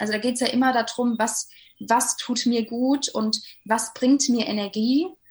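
A woman with a somewhat breathy voice speaks at a moderate pace, fairly high in pitch, with fairly even intonation. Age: 20s. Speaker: life coach. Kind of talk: interview.

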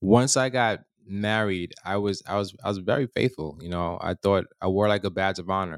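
The recording is very clean, with a silent background. A man speaks fairly slowly in a fairly low pitch. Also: dry, close sound with no echo. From immigrant raised in New York. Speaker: podcast co-host. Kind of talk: casual chat. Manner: halting.

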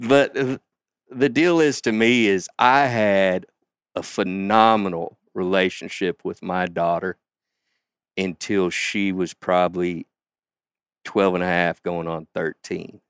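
Speaking very slowly with long, frequent pauses, a man with a Southern US accent uses a fairly low pitch and ordinary pitch variation, in a very clean recording with a silent background and a dry, close sound with no echo. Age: 50s. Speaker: father and outdoorsman. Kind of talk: casual chat.

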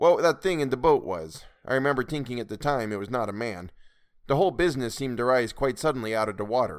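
Lively intonation marks what is plain reading aloud.

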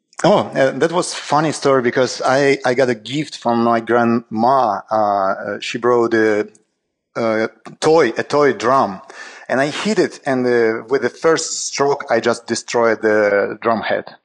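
A man with a Russian accent, medium pitch, ordinary pitch variation and a very slow pace. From Saint Petersburg, Russia. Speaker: jazz drummer. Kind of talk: interview conversation. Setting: video call from Greece. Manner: halting, non-native English.

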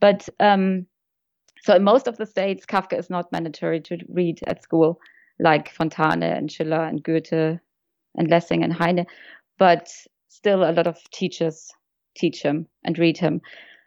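Dry, close sound with no echo and a quiet background carries a German accent and long, frequent pauses. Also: woman, fairly low pitch for a woman. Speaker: friend and guest.

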